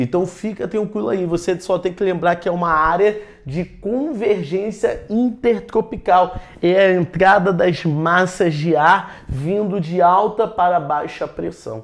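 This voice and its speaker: Through noticeable background noise, a man with a high pitch and ordinary pitch variation talks in an animated tone at a fairly slow pace with hardly any pauses. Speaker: geography teacher for military exam prep. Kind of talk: lecture. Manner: animated, casual slangy.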